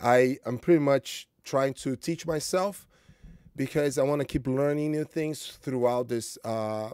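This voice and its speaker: Against a quiet background, a man talks at a fairly slow pace in a dark, mellow tone with ordinary pitch variation, the sound dry with no echo. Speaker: martial arts coach vlogger. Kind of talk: monologue vlog. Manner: informal, motivational, hesitant with fillers. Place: home room.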